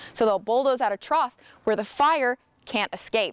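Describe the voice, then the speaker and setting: A woman with an American accent has a plain, everyday voice, lively intonation and a fairly quick pace. The recording is very clean and dry, close with no echo, over a silent background. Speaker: student reporter. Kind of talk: TV news reporter delivery.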